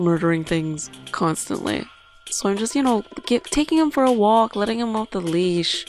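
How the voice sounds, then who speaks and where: Music runs in the background while a woman talks with lively intonation. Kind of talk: casual let's play commentary. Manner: slow, subdued.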